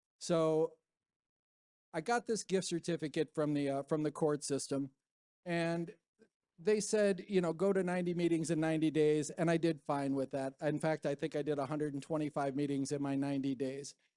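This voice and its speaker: Dry and close with no echo, a man's fairly high voice carries a dark, mellow tone and fairly even intonation. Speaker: recovery speaker. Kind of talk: testimony. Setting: stage with audience. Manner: fast.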